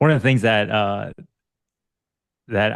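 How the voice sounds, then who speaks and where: Fairly low in pitch, a man speaks at a fairly quick pace in a normal speaking voice. The sound is dry and close with no echo over a quiet background. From US Northeast, New Jersey. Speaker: physical therapy clinic owner and podcast co-host. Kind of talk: casual chat.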